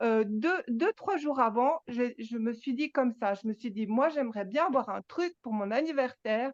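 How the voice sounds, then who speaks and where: Her voice is high-pitched, with lively intonation and a fairly slow pace. The sound is dry and close, with no echo. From Switzerland, Geneva. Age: 60s. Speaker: spiritual gathering participant. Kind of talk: personal testimony. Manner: halting, many repetitions.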